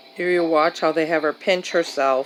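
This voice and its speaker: A woman speaks with a very deep, low pitch. Music plays in the background. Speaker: caregiver daughter. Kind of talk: voice-over narration of home camera footage.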